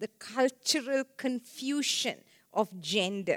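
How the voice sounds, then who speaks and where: The sound is dry and close with no echo as a woman speaks at a high pitch with lively intonation. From Sri Lanka. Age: 70s. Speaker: sexologist. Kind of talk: seminar talk. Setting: live event with audience.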